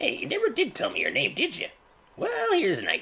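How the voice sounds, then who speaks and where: A put-on character voice. The pace is very fast. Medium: video game. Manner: folksy, chatty.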